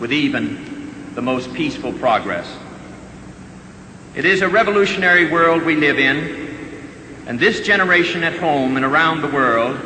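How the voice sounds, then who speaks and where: Speaking at a moderate pace with an American accent, the voice carries lively intonation and long, frequent pauses against noticeable background noise. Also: man, fairly high pitch for a man. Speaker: senator delivering a funeral eulogy for his brother. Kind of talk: solemn eulogy / formal public address.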